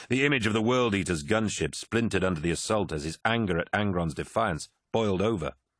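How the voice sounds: It's a natural reading voice. The background is quiet.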